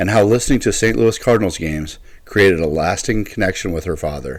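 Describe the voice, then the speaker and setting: With lively intonation and a fairly quick pace, a man speaks in a fairly low voice, an unremarkable speaking voice, on a very clean recording with a silent background. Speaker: podcast host. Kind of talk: podcast intro. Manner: upbeat.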